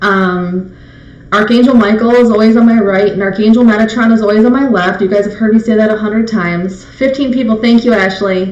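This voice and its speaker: Room echo is audible and background noise is noticeable. A woman speaks at a fairly quick pace with a fairly high pitch. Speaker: psychic medium. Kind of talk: live stream spirit messages. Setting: live video stream. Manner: fast. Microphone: webcam mic, slight echo.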